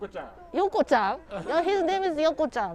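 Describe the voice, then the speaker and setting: Against noticeable background noise, a woman with a high pitch speaks at a moderate pace, her pitch swinging very widely. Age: 60s. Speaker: local tour guide. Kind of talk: live walking tour. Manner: halting.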